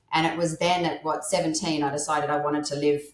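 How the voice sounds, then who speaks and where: A woman with an Australian accent speaks at a fairly quick pace in a very deep, low voice with flat, monotone intonation. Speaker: menopause life coach. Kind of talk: podcast interview. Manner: halting, self-correcting.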